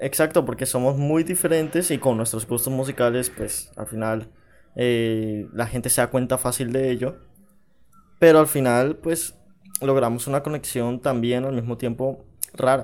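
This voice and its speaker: A man talks in a plain, everyday voice with a medium pitch. His pace is fairly slow and his intonation fairly even. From Panama. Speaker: podcast co-host. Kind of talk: casual chat.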